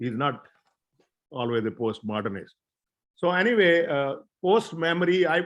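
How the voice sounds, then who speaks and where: A man speaks at a fairly high pitch and a moderate pace. His pitch swings very widely. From northern India, Ambala, Haryana. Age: 70s. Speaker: professor. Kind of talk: lecture. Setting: video call. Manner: hesitant, frequent uh fillers.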